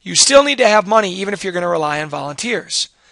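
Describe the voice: A man talks fast in a high, raspy voice with vocal fry. His tone is bright and sharp, with lively intonation.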